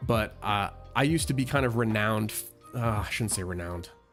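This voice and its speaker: At a moderate pace, a man with a plain, everyday voice speaks at a medium pitch with ordinary pitch variation. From United States. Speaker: gaming live streamer. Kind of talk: live gameplay stream chat. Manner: casual.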